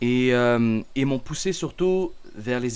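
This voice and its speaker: On a very clean recording with a silent background, a man speaks at medium pitch. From Canada. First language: Arabic (speaking French). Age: 20s. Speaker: religious content creator. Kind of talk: self-introduction monologue. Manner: halting, many fillers.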